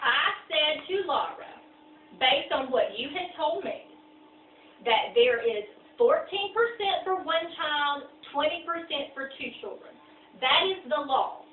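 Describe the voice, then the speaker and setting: A woman speaks loudly in a high pitch with lively intonation. Her pace is fairly slow, with long, frequent pauses and audible room echo. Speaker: lawyer. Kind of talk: heated argument. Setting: meeting at a client's home.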